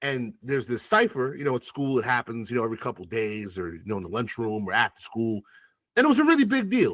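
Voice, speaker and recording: A man talks with an American accent at a fairly quick pace. His tone is animated, and his pitch swings very widely. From Long Island, New York (West Indian household). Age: 40s. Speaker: rapper. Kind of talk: interview conversation.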